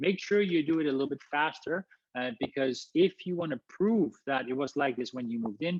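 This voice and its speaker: A man's lively intonation in a dry, close sound with no echo. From Netherlands. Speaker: housing consultant, company founder. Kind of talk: webinar presentation. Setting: live webinar. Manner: very fast; energetic.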